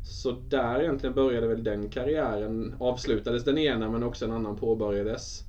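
The man's fairly quick delivery carries audible echo from the room. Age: 30s. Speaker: sports psychology consultant, former footballer. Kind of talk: interview. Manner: halting.

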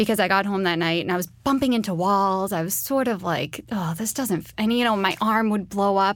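A normal speaking voice at a fairly quick pace, with ordinary pitch variation. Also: woman. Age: 30s. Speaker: nurse and cancer survivor. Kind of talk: interview testimony.

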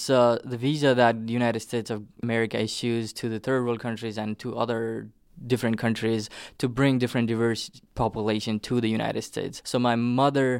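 A man with a Nepali accent at a medium pitch, monotone and flat, at a fairly quick pace, on a very clean recording with a silent background. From southern Nepal. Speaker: immigrant interviewee. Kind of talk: oral history interview.

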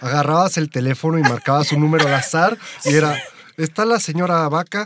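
A man talks in a fairly high pitch at a fairly quick pace. Noticeable background noise is present. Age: 30s. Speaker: motorcycling enthusiast. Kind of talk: casual chat.

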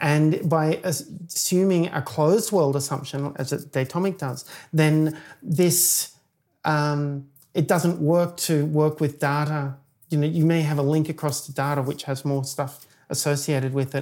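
On a very clean recording with a silent background, a woman with an American accent speaks in a very deep, low pitch and a dark, mellow tone at a moderate pace with fairly even intonation. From Australia. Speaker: software engineer. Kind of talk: technical interview. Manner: hesitant, many fillers.

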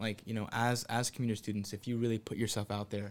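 At a fairly quick pace, the speaker uses an ordinary speaking voice. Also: man. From Southern California, Santa Ana. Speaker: university student. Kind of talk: casual chat.

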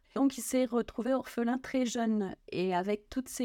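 In a very clean recording with a silent background, a woman with a dark, mellow tone talks at a fairly slow pace with fairly even intonation. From Lorraine, France (Nancy). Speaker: magazine editor and author. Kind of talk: interview about religious history.

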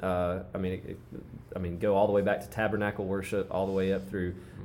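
In a very fast, monotone delivery, a man with a very deep, low pitch and dark, mellow tone speaks through audible room echo. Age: 30s. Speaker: worship leader and musician. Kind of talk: casual chat.

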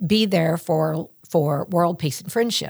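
A woman with a Southern US accent speaks in a fairly low pitch with ordinary pitch variation. The recording is very clean, with a silent background. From West Tennessee. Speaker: school communications director. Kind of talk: casual interview chat.

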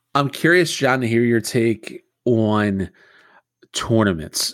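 With ordinary pitch variation and a normal speaking voice, a man is heard on a very clean recording with a silent background. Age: 30s. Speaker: podcast host. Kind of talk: interview.

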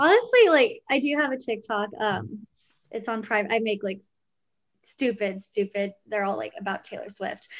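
Against a quiet background, a woman speaks at a moderate pace. Her pitch is fairly high, with ordinary variation. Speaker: news reporter. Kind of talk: casual chat. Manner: halting.

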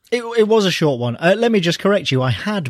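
In a very clean recording with a silent background, a man's voice sounds dry and close with no echo. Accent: English. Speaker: comic book writer. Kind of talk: casual interview.

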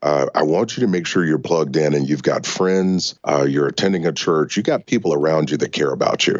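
A man speaks at a very deep, low pitch with vocal fry. His pace is fairly quick and his loudness very even. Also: ordinary pitch variation. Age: 40s. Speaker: financial author and coach. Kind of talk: interview.

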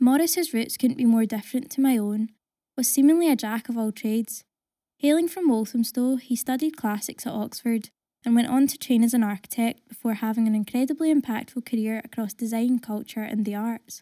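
With a Glaswegian accent, a woman speaks at a fairly quick pace in a fairly high pitch and a dark, mellow tone, her pitch varying in an ordinary way on a very clean recording with a silent background. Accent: Glaswegian Scottish. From Glasgow, Scotland. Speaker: writer. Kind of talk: reading aloud.

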